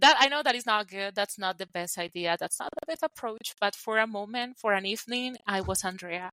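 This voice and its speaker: A woman speaks at a medium pitch and a fairly quick pace, with hardly any pauses. Her ordinary pitch variation sits in a dry, close sound with no echo. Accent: Colombian. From Colombia. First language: Spanish. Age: 20s. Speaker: podcast co-host. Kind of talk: casual chat.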